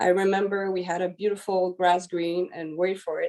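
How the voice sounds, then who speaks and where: A fairly slow woman's voice at medium pitch, with a dark, mellow tone. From DR Congo. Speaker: gemologist. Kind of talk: webinar presentation. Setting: online webinar. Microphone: connection may cut off.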